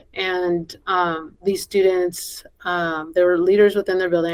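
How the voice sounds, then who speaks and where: At a moderate pace, a woman with a Spanish accent speaks at a fairly low pitch. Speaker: school principal and education association board president. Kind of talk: podcast interview. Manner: conversational with many fillers.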